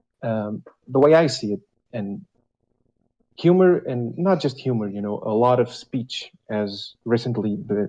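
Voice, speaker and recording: With a non-native accent, a man speaks at a medium pitch. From Europe. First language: not English. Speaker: caller. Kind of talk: casual call-in chat. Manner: hesitant, many fillers.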